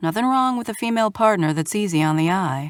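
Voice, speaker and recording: A female-sounding voice performs a put-on character at a very fast pace and middle pitch. The recording is very clean, with a silent background. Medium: read story.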